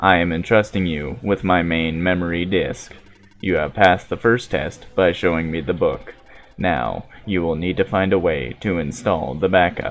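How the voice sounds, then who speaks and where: A man's put-on character voice, very deep and low in pitch. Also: moderate pace. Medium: solo performance. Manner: formal, measured.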